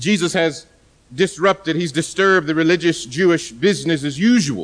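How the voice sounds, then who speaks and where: The speech is loud, at a moderate pace with ordinary pitch variation. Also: man. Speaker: pastor. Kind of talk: sermon. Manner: soft-spoken.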